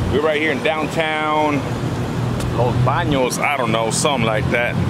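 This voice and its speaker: The background noise is loud. The sound is dry, with no echo. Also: man. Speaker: car vlogger. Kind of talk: casual vlog chat. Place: street. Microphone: phone near.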